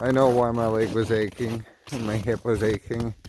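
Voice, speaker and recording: Against noticeable background noise, a man talks at a moderate pace and a medium pitch. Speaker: outdoor gear vlogger. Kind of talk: casual vlog. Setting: outdoors in winter cold, then indoors. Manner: quiet, trying not to wake kids.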